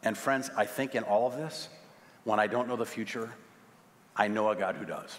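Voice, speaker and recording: A man with an American accent speaks in a medium pitch with fairly even intonation and long, frequent pauses. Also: moderate pace. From US Midwest, St. Louis; US Midwest. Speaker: pastor. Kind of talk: sermon. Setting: church. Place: church.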